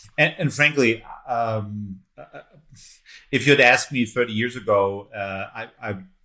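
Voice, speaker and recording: In a very clean recording with a silent background, a man with a German accent talks at a fairly slow pace and medium pitch, his tone bright and sharp, his loudness swinging widely, his pitch varying in an ordinary way, with long, frequent pauses. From Germany, Munich. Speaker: entrepreneur and investor. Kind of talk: interview. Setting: podcast. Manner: halting, many fillers and repeats.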